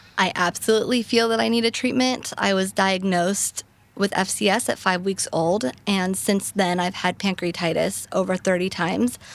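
With a plain, everyday voice, a woman talks at a moderate pace and medium pitch, her loudness very even, her pitch varying in an ordinary way, and hardly any pauses. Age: 20s. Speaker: rare disease patient advocate. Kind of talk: interview conversation. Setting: live recording at a patient advocacy summit.

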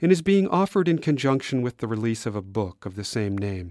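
In a plain, everyday voice, a man speaks at a fairly quick pace with medium pitch. The recording is very clean, with a silent background and a dry, close sound with no echo. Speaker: radio podcast host and executive producer. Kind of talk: scripted narration.

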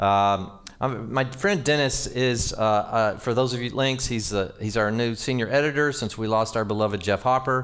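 Using a plain, everyday voice, the man holds a medium pitch, shows ordinary pitch variation, and keeps a moderate pace. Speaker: pastor. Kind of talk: sermon. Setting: church.

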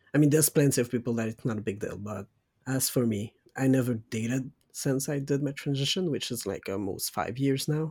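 Somewhat breathy and dark, mellow in tone, a man speaks at a medium pitch and a fairly quick pace with ordinary pitch variation, in a dry, close sound with no echo on a very clean recording with a silent background. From Quebec, Saguenay-Lac-Saint-Jean. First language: French. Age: 20s. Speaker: podcast co-host. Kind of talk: casual chat.

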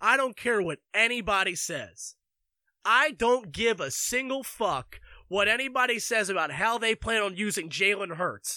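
A man with an American accent uses a raised, projected voice that is high-pitched, bright and sharp, with ordinary pitch variation at a moderate pace, in a very clean recording with a silent background. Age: 20s. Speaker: sports podcaster. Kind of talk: sports rant. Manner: animated.

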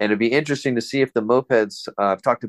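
In a plain, everyday voice, a man with an American accent speaks at a medium pitch with ordinary pitch variation, recorded very cleanly with a silent background and a dry, close sound with no echo. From Southern California, San Fernando Valley. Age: 50s. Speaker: scooter engine builder. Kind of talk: casual chat.

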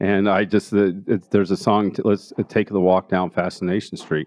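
In an American accent, a man with a fairly low pitch talks in a monotone, flat way. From Denver, Colorado (Park Hill). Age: 50s. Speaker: art gallery owner and author. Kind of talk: interview. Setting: live recording before an audience.

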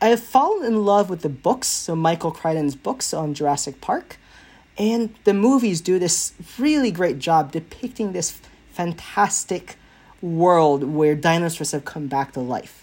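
A woman with an American accent, a plain, everyday voice at fairly low pitch, lively intonation, fairly slow pace. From US South, central Florida. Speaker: university biology professor. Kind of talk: interview. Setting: remote recording.

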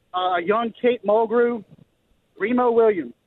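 A man speaks in a Louisiana accent. His pitch is extremely high, with fairly even intonation. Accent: Louisiana Southern US. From Baton Rouge, Louisiana. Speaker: caller. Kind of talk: casual chat. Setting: phone call.

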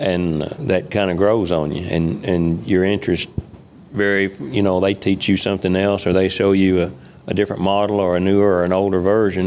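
A man with a very deep, low pitch and a Kentucky accent, fairly quick in pace, with fairly even intonation and very even loudness. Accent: Kentucky Southern. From western Kentucky. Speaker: farmer and tractor collector. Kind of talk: casual interview. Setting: studio with live audience.

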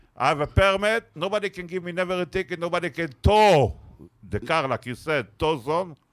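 A man talks at a fairly quick pace with a high pitch, the sound dry and close with no echo. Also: ordinary pitch variation. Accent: Israeli. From Israel. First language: Hebrew. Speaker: comedian. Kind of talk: casual banter. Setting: stage with audience. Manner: animated.

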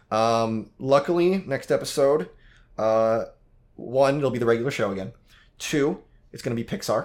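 With an American accent and a medium pitch, a man talks at a moderate pace with lively intonation, big swings in loudness, and long, frequent pauses, on a very clean recording with a silent background. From United States. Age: 20s. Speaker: movie podcast host. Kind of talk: casual chat.

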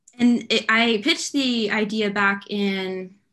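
This woman has an American accent and a bright, sharp tone. Her pitch is fairly high, with ordinary variation. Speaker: news reporter. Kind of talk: casual chat. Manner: enthusiastic.

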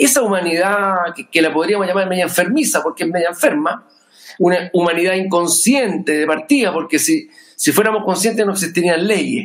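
Speaking at a fairly quick pace, a man with a Chilean accent uses a high pitch with ordinary pitch variation. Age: 50s. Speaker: musician. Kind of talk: casual chat. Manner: calm and measured.

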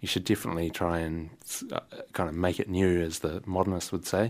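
Over a silent background in a very clean recording, a man with a New Zealand accent speaks at a moderate pace in a very deep, low pitch with monotone, flat intonation. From New Zealand, Wellington. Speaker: jazz saxophonist and composer. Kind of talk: casual interview. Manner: halting.

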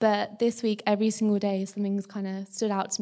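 In a very clean recording with a silent background, a woman with an English accent talks at a fairly quick pace in a dark, mellow tone, her medium pitch held monotone and flat. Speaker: university student. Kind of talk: testimony.

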